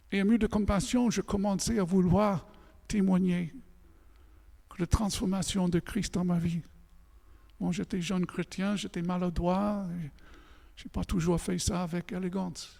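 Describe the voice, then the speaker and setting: A man with a high pitch and a dark, mellow tone speaks at a fairly slow pace with fairly even intonation. There are long, frequent pauses, and the recording is very clean with a silent background. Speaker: pastor. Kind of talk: sermon.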